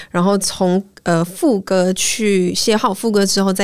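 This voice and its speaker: A woman with an unremarkable speaking voice keeps a medium pitch and fairly even intonation. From Malaysia. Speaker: singer-songwriter. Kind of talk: interview. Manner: code-switching with English.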